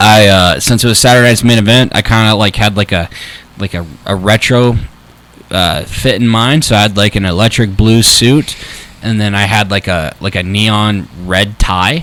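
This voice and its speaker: There is noticeable background noise as a man speaks in a fairly low pitch. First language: not English. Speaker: wrestling personality. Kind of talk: casual chat. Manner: halting, many fillers.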